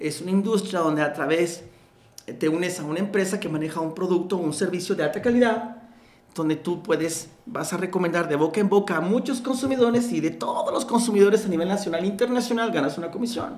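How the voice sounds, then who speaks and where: A man talks at a fairly quick pace and a high pitch. Noticeable background noise and audible room echo are present. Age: 50s. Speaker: network marketing entrepreneur and mentor. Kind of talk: interview.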